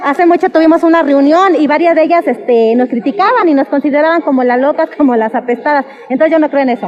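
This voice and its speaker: Over noticeable background noise, a woman with a high pitch talks at a very fast pace with hardly any pauses, her tone animated and intonation lively. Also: very even loudness. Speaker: sex worker interviewee. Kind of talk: street interview testimony.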